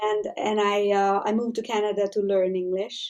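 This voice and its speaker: With a strong Hungarian accent, a woman speaks at a moderate pace. Her pitch is medium. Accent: Hungarian accent, heavy by her own account. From Hungary. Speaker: army spouse. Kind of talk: casual interview chat. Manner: halting.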